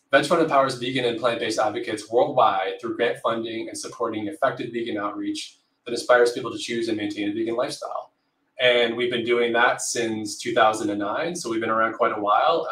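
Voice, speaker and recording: Speaking at a fairly quick pace, a man keeps his intonation fairly even while audible room echo surrounds his voice. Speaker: livestream host. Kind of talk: livestream introduction. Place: home room.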